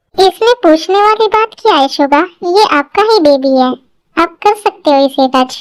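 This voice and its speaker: A woman uses a put-on character voice at an extremely high pitch, with lively intonation. She speaks at a moderate pace in a dry, close sound with no echo. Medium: audio drama. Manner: affectionate, playful.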